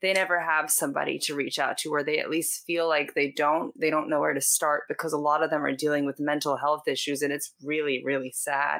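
Speech comes at a fairly quick pace with hardly any pauses and a monotone, flat intonation. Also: woman, very deep, low pitch for a woman. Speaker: podcast host. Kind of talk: interview conversation.

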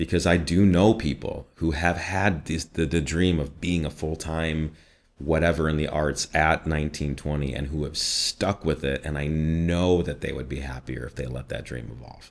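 With hardly any pauses, a man talks in a very deep, low register with vocal fry, fairly even intonation and a slight Midwestern accent. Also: moderate pace. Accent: slight Midwestern American. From US Midwest. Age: 30s. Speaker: voiceover artist. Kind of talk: casual interview.

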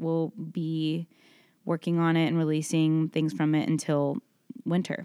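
Speaking with an American accent at a fairly slow pace, a woman with a very deep, low pitch and a dark, mellow tone keeps very even loudness and fairly even intonation, recorded dry and close with no echo on a very clean recording with a silent background. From Texas, Dallas. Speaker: singer-songwriter. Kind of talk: interview. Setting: hotel room.

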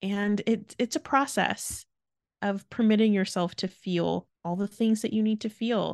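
In a quiet background, a woman speaks in an ordinary speaking voice at a medium pitch. Her pace is fairly slow, her intonation fairly even, and the sound dry and close with no echo. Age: 30s. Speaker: podcast co-host. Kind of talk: casual chat.

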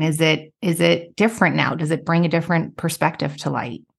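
Her voice is fairly low in pitch. The woman speaks at a moderate pace against a quiet background. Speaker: podcast host. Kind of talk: casual interview chat.

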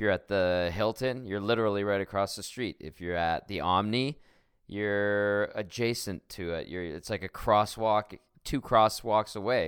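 A man with a Canadian accent has an unremarkable speaking voice, fairly low pitch and fairly even intonation. He talks at a moderate pace with big swings in loudness, in a very clean recording with a silent background. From Edmonton, Canada. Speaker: sports radio host. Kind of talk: casual chat.

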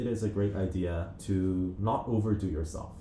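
A man with a very deep, low voice and a dark, mellow tone speaks somewhat breathily with fairly even intonation, and audible room echo surrounds him. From New Zealand and Korea. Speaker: law student podcast co-host. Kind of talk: casual chat.

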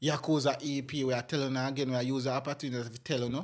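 In a very clean recording with a silent background, a man speaks at medium pitch with fairly even intonation. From Jamaica, Spalding area (Manchester/Clarendon border). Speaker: dancehall producer. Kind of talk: casual interview.

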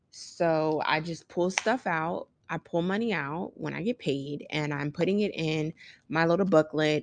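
A woman with a normal speaking voice talks fairly slowly at a fairly low pitch. Her pitch varies in an ordinary way, and the background is quiet. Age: 30s. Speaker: podcast host, mother. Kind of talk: casual solo chat. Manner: conversational, filler-heavy.

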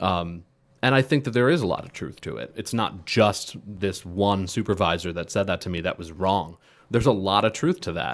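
An unremarkable speaking voice from a man, fairly low in pitch, with lively intonation and big swings in loudness. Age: 30s. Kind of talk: casual chat.

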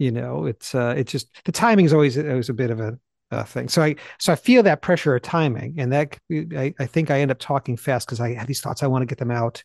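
The tone is animated with ordinary pitch variation, recorded dry and close with no echo over a quiet background. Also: man. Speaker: Bible teacher and podcast co-host. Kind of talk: casual chat. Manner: fast talker; animated, excitable.

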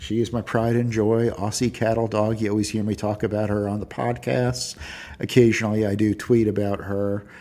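A man at a fairly low pitch and a moderate pace. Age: 50s. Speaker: podcast host, early retiree. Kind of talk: unscripted solo monologue. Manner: conversational, some hesitations.

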